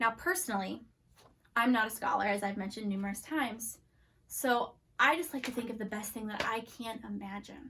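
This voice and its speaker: Talking at a fairly quick pace over noticeable background noise, a woman has an animated tone, fairly high pitch and ordinary pitch variation. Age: 30s. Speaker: children's ministry teacher. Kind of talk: children's church lesson. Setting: filmed video lesson. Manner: fast; casual and animated.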